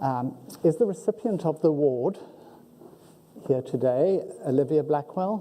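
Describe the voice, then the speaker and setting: With a strong South African accent, the speaker goes at a fairly slow pace, leaving long, frequent pauses. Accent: South African, heavy. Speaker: university faculty member, ceremony emcee. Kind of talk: ceremony hosting. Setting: auditorium with audience.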